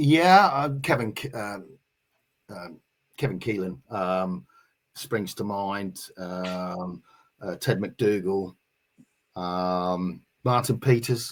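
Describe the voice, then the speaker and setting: In a Norfolk accent, a man with a fairly low pitch speaks at a very slow pace, using lively intonation, big swings in loudness, and long, frequent pauses. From England, Norwich. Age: 60s. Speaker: navy veteran, football supporters group organiser. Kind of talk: casual interview. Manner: halting, many fillers.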